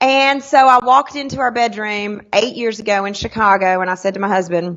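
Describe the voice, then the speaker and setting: Someone speaks in an animated tone with a Southern US accent. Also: woman. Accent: Southern US country. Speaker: sales trainer. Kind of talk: interview.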